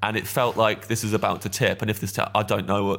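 A medium-pitched man talks with an East Midlands accent. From England, Kettering (East Midlands). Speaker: stand-up comedian. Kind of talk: casual chat.

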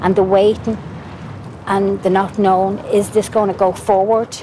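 With an Irish accent, a woman speaks at a moderate pace in a flat monotone at medium pitch, with noticeable background noise. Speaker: mother of a witness. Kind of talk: testimony.

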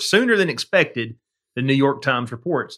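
A man with a Southern US accent speaks at a fairly high pitch, recorded very cleanly against a silent background. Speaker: podcast co-host. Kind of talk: casual chat. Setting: studio. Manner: laughs often.

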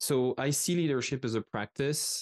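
With a French accent, a man talks in a dry, close sound with no echo against a quiet background. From France. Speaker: author and business strategist. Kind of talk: casual interview.

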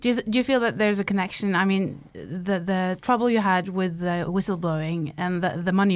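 A woman with a Norwegian accent, medium in pitch and moderate in pace, with ordinary pitch variation on a very clean recording with a silent background. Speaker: journalist, podcast host. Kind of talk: interview; scripted narration. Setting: studio.

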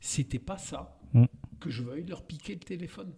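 This man's voice has a dark, mellow tone, somewhat breathy, with lively intonation. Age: 60s. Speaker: winemaker. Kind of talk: interview. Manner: calm, measured.

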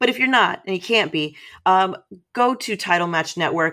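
A woman speaks at a fairly quick pace and medium pitch. She has an unremarkable speaking voice. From Texas, San Antonio. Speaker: wrestling promotion staff. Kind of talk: casual chat.

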